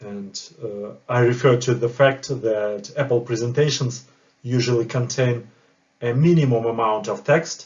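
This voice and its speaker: A man with a non-native accent speaks at a fairly slow pace and a medium pitch, his somewhat breathy voice keeping fairly even intonation. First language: not English. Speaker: project manager and course creator. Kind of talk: tutorial.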